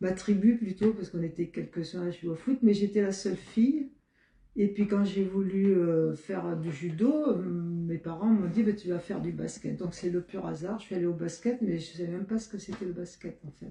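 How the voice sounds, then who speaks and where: A woman's somewhat breathy voice, medium in pitch and dark and mellow in tone, with ordinary pitch variation, big swings in loudness and a moderate pace. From Marseille, southern France. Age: 70s. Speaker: retired basketball player and PE teacher. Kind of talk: interview. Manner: halting, many hesitations.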